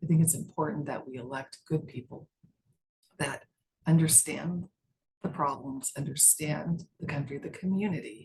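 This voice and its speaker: In an American accent, a woman talks at a moderate pace with a very deep, low pitch and a somewhat breathy sound. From US West, Las Vegas, Nevada. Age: 60s. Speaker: judge running for re-election. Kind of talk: interview.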